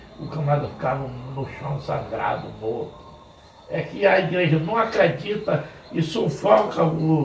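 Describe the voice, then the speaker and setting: A man with a fairly high pitch talks with lively intonation and big swings in loudness. Audible room echo and noticeable background noise fill the recording. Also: fairly slow pace. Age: 70s. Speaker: pastor. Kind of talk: informal sermon talk to church men's group. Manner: conversational.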